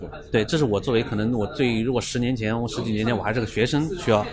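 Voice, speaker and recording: Music plays in the background as the speaker talks at a very fast pace with ordinary pitch variation. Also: man. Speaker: tech startup co-founder. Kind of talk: casual interview. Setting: cafe.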